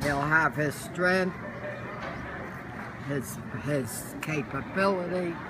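The speech moves at a very slow pace. Background noise is noticeable. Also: woman. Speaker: grandmother. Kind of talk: casual family conversation. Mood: warm, emphatic, hopeful. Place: cafe. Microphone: phone near.

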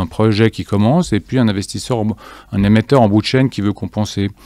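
A man with a dark, mellow tone speaks at a fairly low pitch and a fairly quick pace, with ordinary pitch variation. The background is quiet, and the sound is dry with no echo. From Geneva, Switzerland. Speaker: fintech cofounder; guest. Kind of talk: interview. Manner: halting, many fillers and repetitions. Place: studio. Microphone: studio mic.

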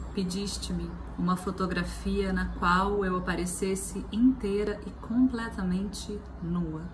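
Noticeable background noise beneath a very slow pace of speech. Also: woman. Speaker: poetry performer. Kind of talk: poem reading aloud, then short book recommendation. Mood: tender, expressive. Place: home room. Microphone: phone near.

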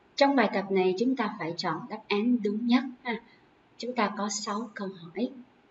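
In an ordinary speaking voice, a woman with a fairly high pitch talks at a fairly slow pace with ordinary pitch variation over light background noise. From Vietnam. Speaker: English teacher. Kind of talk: lecture. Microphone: webcam.

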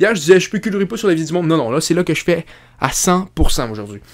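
A man's high, animated voice with a Quebec accent, very fast pace and lively intonation over a quiet background. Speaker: YouTuber commentator. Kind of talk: casual vlog commentary. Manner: halting, many fillers and repetitions. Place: home room. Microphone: studio mic.

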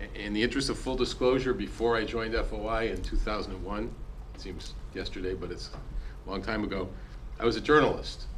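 Light background noise accompanies a man talking at a fairly quick pace. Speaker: freedom of information educator. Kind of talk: presentation to council. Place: meeting room. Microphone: podium.

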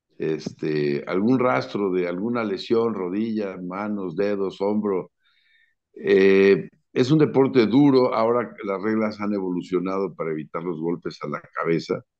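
Over a quiet background, someone talks at a fairly slow pace, with ordinary pitch variation. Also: man, fairly low pitch for a man. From Mexico City. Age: 60s. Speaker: sports commentator. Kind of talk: casual interview. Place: home room.

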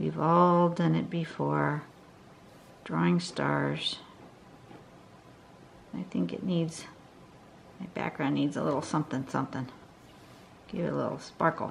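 Over light background noise, a woman speaks at a fairly slow pace with long, frequent pauses. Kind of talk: tutorial.

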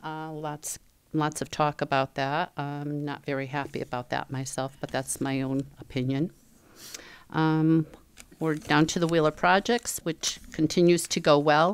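A woman speaks at a fairly slow pace in a very deep, low voice with ordinary pitch variation. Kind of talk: meeting report. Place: meeting room. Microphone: podium.

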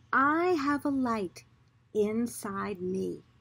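A woman speaks in a calm, soothing, somewhat breathy tone with lively intonation. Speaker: storybook reader. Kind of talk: children's storybook reading aloud. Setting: video recording for online viewers. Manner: slow, calm, soothing, gentle pacing; warm, friendly, addressing young viewers. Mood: warm, expressive, gentle. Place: garden. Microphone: phone near.

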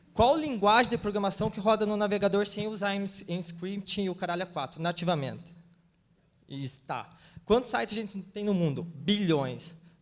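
At a moderate pace, a high-pitched man talks with a slight Paraná accent. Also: ordinary pitch variation. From Paraná, Brazil. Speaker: web developer panelist, event organizer; panelist. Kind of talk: panel discussion. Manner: casual, slangy. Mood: passionate, informal, profane. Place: stage. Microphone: handheld.

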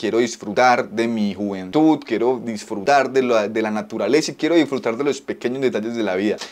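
Ordinary variation in pitch from a man. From Colombia. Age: 20s. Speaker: YouTuber, home cannabis grower; YouTuber. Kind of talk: personal vlog confession. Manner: unscripted, one take. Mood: earnest, vulnerable, motivated. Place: home room. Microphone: phone near.

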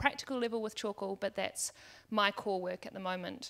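A woman talks with a New Zealand accent. The background is quiet. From New Zealand, Wellington. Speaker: education startup founder; panelist. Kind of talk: panel discussion. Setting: stage with audience. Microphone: handheld.

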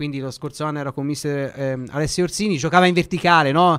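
Against a quiet background, a man with a normal speaking voice and fairly high pitch speaks with ordinary pitch variation. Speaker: sports radio host. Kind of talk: radio interview. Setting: studio. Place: studio.

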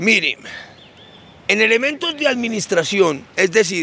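A man speaks in a raised, projected voice at a high pitch. The sound is dry, with no echo. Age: old. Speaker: theologian. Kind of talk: religious teaching talk. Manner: halting, repeats words. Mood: earnest, mildly aggrieved. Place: street. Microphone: handheld.

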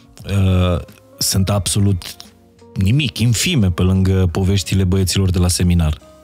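A man speaks in a very deep, low pitch at a fairly slow pace, with fairly even intonation and very even loudness. Faint music plays in the background, and the sound is dry with no echo. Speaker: podcast host. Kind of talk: podcast interview questions. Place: studio. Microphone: studio mic.

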